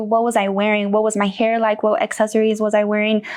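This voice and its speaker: A woman with an American accent speaks very fast at a fairly high pitch. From US South, Charlotte, North Carolina. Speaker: designer and model. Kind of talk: casual interview chat. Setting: podcast in a store.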